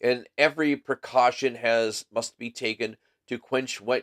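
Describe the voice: Someone reads aloud plainly, and the background is quiet.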